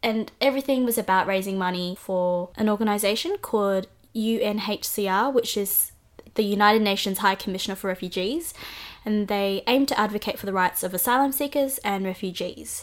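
A woman with an Australian accent, medium pitch, ordinary pitch variation and a moderate pace. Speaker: podcast co-host. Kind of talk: casual chat.

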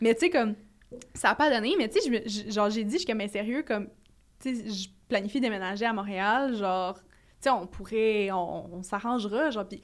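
Fairly quick speech with ordinary pitch variation, on a very clean recording with a silent background. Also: woman. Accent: Quebec. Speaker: podcast co-host. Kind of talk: casual chat.

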